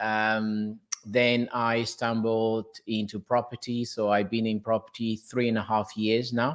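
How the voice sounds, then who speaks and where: A man's medium-pitched, monotone, flat delivery at a fairly slow pace with hardly any pauses. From Portugal. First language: Portuguese. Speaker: property investor. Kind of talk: interview. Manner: halting.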